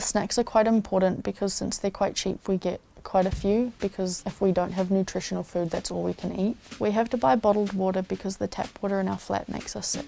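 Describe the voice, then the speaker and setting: Over music in the background, a woman with a New Zealand accent talks at a fairly quick pace, her medium-pitched voice holding a fairly even intonation. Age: 20s. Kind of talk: personal testimony.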